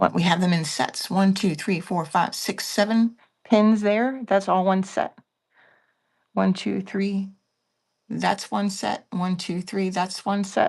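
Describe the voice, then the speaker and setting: A woman whispers in a soft-spoken, somewhat breathy way with an American accent. She goes at a very slow pace against a quiet background. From Pennsylvania. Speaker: online live seller. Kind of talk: live selling stream. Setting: at home, early morning live stream. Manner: whispering.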